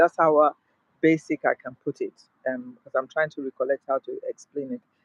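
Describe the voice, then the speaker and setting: A man's fairly high-pitched voice, dry and close with no echo. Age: 60s. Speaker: mental health vlogger. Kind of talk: personal vlog monologue. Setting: outdoors in a park. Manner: halting, many fillers.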